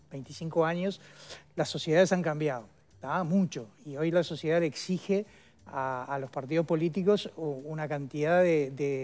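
Fairly slow, fairly even speech from a man over faint music in the background. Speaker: former minister, guest. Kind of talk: interview answer. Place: studio. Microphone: headset.

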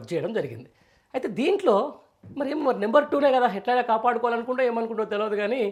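A man with an extremely high pitch and ordinary pitch variation. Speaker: political journalist. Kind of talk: news commentary. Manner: conversational, rambling delivery.

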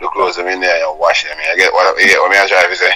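A man talks at a very fast pace with a Jamaican accent. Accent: Jamaican Patois. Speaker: vlogger playing an interview character. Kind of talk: phone interview answer. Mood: insistent, argumentative. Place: home room. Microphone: lapel.

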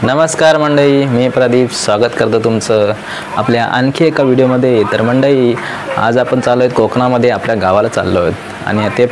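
The speech has fairly even intonation and very even loudness against noticeable background noise. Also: man. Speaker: travel vlogger. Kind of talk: casual vlog chat. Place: home room. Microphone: lapel.

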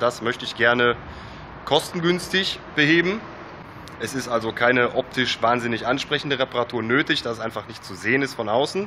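With light background noise, a man speaks at a moderate pace. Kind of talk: casual DIY tutorial vlog. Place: garage. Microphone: phone near.

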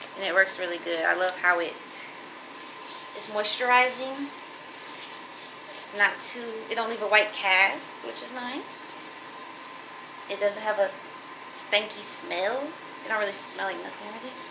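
Against noticeable background noise, a woman speaks at a moderate pace with big swings in loudness, long, frequent pauses and ordinary pitch variation. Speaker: vlogger. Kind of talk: casual vlog chat. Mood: relaxed, upbeat. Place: home room. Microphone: phone near.

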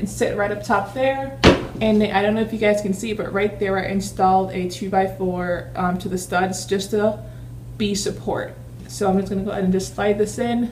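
A woman talks at a moderate pace. There is light background noise. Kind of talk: casual vlog tutorial. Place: kitchen. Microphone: phone near.

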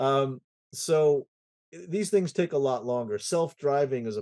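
Against a quiet background, a man talks with lively intonation in a dark, mellow tone, the sound dry with no echo. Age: 60s. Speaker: IT consultancy president and conference founder; podcast guest. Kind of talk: casual interview chat. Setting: home music studio. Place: home room. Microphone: webcam.

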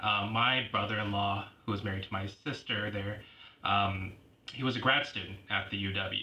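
The speech moves at a moderate pace with monotone, flat intonation. Audible room echo and noticeable background noise are present. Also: man. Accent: Pacific Northwest. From Washington State, Tacoma and Lacey-Olympia area. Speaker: university student finance advisor. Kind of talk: casual interview.

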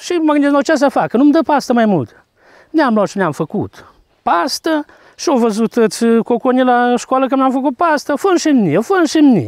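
A man with a Maramureș accent speaks at a moderate pace with long, frequent pauses, the sound dry with no echo against a quiet background. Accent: Maramureș-type rural Romanian dialect. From Romanian community in Transcarpathia, Ukraine (Rakhiv area); Transcarpathia, Ukraine. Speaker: carpenter and folk fiddler, home museum keeper; interviewee. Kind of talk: interview.

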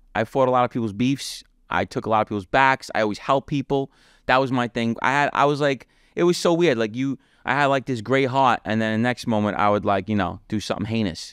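A man with a New York accent at medium pitch and a very fast pace, in a dry sound with no echo. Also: ordinary pitch variation, quiet background. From New York City (Brooklyn, Queens); New York City. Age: 30s. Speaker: former mafia member; podcast guest. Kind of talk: interview, life story. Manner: casual, conversational. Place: home room. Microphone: studio mic.

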